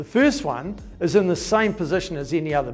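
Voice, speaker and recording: A man talks at a fairly quick pace with a fairly high pitch and lively intonation. Music plays in the background. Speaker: auctioneer, national auction manager. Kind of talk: corporate update talk to camera.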